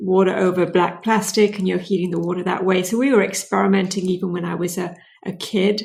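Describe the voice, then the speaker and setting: In a British accent, a woman speaks at a fairly quick pace with medium pitch and monotone, flat intonation. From Britain. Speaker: clean tech entrepreneur. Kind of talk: interview.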